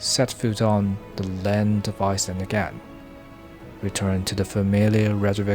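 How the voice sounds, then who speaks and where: With music in the background, a man speaks at a fairly slow pace in a fairly low, monotone, flat voice. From Taiwan. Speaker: visual artist and film director. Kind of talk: travel vlog voice-over narration.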